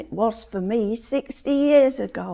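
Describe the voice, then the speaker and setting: The speech moves at a very slow pace with lively intonation. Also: woman. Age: 80s+. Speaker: domestic violence survivor. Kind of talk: scripted narration.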